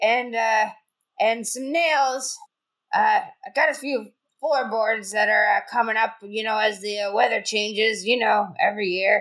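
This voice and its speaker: In a put-on character voice, a female-sounding speaker talks very slowly at a fairly high pitch. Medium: actual play. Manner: fussy, old-fashioned, slyly creepy.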